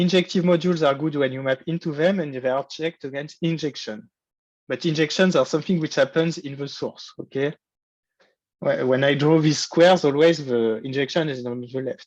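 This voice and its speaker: Against a quiet background, a man with an ordinary speaking voice talks at a fairly quick pace, using a fairly high pitch and ordinary pitch variation. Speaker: university lecturer. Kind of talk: lecture. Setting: online lecture.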